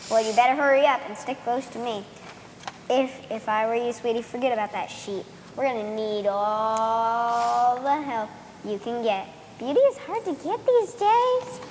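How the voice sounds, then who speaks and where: A female-sounding, put-on character voice is pitched high, with clear background noise behind it. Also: moderate pace. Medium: stage play. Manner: sassy, sly.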